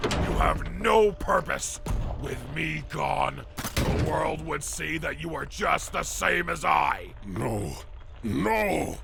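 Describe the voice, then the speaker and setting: A man puts on a character voice and talks at a very slow pace over loud background noise and sound effects. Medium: audio drama. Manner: menacing, taunting.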